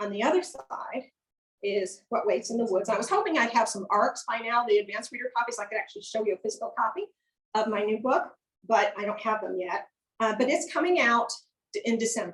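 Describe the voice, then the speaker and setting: In an American accent, a woman with a fairly high pitch talks at a fairly quick pace, sounding somewhat breathy, with lively intonation. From rural upstate New York. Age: 60s. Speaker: author. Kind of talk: author talk. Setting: event with live and Zoom audience.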